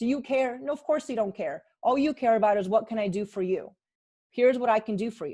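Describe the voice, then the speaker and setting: A woman with a high pitch and a dark, mellow tone speaks at a fairly quick pace with ordinary pitch variation against a quiet background. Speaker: marketing coach hosting webinar. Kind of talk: webinar sales pitch. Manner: fast.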